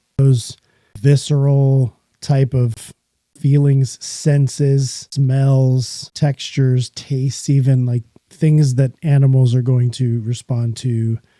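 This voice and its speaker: Dark and mellow in tone, a man's voice moves at a very slow pace with monotone, flat intonation in a dry, close sound with no echo. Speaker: podcast host. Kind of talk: solo podcast monologue. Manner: casual, conversational.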